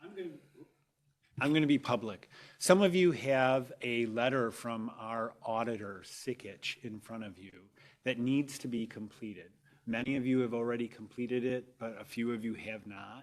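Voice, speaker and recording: Soft-spoken and at a medium pitch, a man talks at a moderate pace with ordinary pitch variation and big swings in loudness, on a very clean recording with a silent background. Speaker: public agency staff official. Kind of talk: public board meeting.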